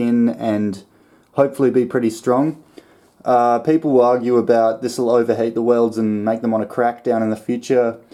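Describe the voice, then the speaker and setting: In an Australian accent, a man speaks at a moderate pace and medium pitch with a dark, mellow tone. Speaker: home mechanic and fabricator. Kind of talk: casual workshop narration. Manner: monotone.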